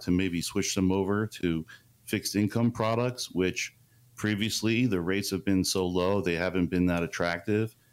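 In a very clean recording with a silent background, a man with an ordinary speaking voice talks at a moderate pace, his fairly low pitch following fairly even intonation. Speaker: chief investment officer. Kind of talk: radio interview. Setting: studio.

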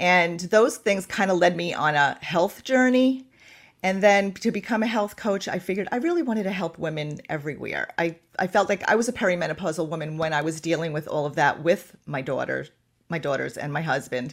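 A woman with a normal speaking voice, fairly low in pitch, lively intonation and a fairly quick pace. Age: 60s. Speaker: menopause expert and health coach. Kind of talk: interview.

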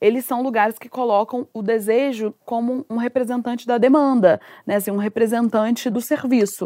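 A woman with a normal speaking voice talks at a moderate pace, her pitch fairly high and her intonation fairly even. The sound is dry and close with no echo, and the recording is very clean over a silent background. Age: 30s. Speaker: psychoanalyst and communicator. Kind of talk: casual chat. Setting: home sofa, video.

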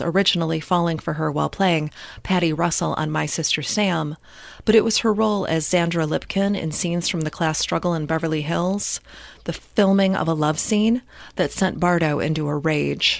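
A woman talks at a fairly quick pace with a fairly low pitch and fairly even intonation, an ordinary speaking voice on a very clean recording with a silent background. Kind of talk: true-crime narration. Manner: measured, solemn, scripted delivery.

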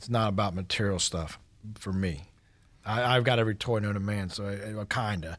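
On a very clean recording with a silent background, a man with an American accent has an unremarkable speaking voice, a fairly low pitch and fairly even intonation, and speaks at a fairly quick pace. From US South, Georgia (East Cobb, Atlanta area). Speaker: painting and siding contractor. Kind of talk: casual radio interview.

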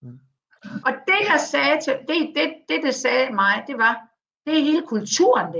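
A woman with a high pitch and a bright, sharp tone speaks with very wide pitch swings and big swings in loudness, pausing long and often. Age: 50s. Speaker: communications consultant. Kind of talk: interview. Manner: halting.

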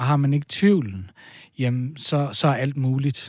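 A man speaks with a medium pitch. His pace is very slow. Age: 30s. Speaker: folk high school teacher. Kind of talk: casual chat. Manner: halting.

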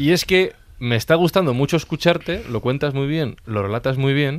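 A man is speaking. His pace is fairly quick. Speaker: podcast host. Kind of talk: casual chat.

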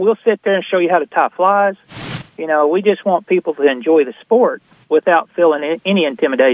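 In an Arkansas accent, a man speaks at a high pitch and a fairly quick pace. His pitch varies an ordinary amount. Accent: Southern US (Arkansas). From northern Arkansas. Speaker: fishing guide and fly shop owner. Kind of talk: casual chat.

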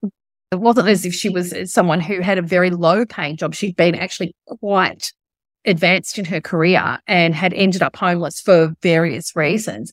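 The recording is very clean, with a silent background. A woman speaks at a moderate pace and fairly low pitch, with fairly even intonation. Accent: Australian. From Australia. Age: 50s. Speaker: novelist. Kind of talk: interview.

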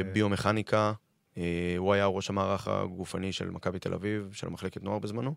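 Flat and monotone, a man's fairly low voice moves at a fairly quick pace. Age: 30s. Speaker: football fitness coach. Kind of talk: podcast interview. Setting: radio studio.

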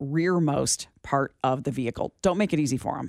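The sound is dry and close, with no echo. It carries a normal speaking voice with lively intonation. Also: woman. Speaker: radio host. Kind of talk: casual talk radio chat. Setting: radio studio.

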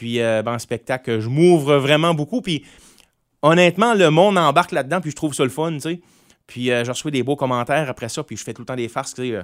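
A man with an ordinary speaking voice, fairly high-pitched, at a fairly quick pace with lively intonation, dry and close with no echo, in a very clean recording with a silent background. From Quebec, Gaspésie (Grande-Rivière). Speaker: singer-songwriter. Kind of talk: casual interview.

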